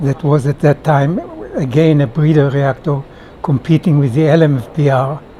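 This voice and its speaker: Through noticeable background noise, a man talks at a moderate pace in a fairly high-pitched voice. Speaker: retired nuclear engineer. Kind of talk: casual interview chat. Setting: conference workshop.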